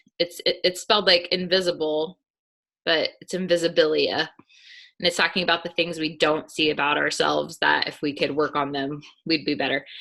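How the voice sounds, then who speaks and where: A woman speaks at a fairly quick pace in a fairly low pitch, her tone bright and sharp with some vocal fry. Her intonation stays fairly even over a quiet background. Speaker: network marketing team leader. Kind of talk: motivational team training call.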